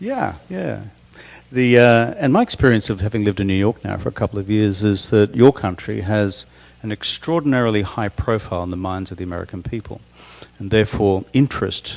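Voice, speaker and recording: Talking at a fairly quick pace, a man with an Australian accent has a fairly low pitch and ordinary pitch variation. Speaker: interviewer. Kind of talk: onstage interview. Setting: stage with audience.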